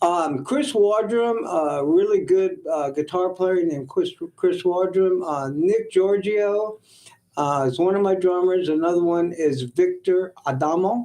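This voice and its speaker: A man speaks at a fairly slow pace, his voice high-pitched with a dark, mellow tone. His pitch varies in an ordinary way. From US South. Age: 70s. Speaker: musician. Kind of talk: casual chat.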